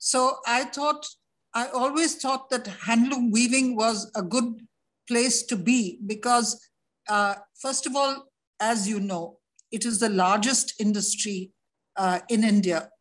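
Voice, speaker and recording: A somewhat breathy woman at a fairly slow pace, with ordinary pitch variation. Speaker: interview guest. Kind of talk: interview answer. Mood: calm, reflective. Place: home room. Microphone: video call.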